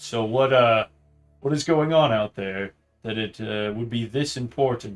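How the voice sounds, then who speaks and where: A man speaks in a put-on character voice at a moderate pace and medium pitch, with faint music in the background. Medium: actual play. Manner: formal, dignified.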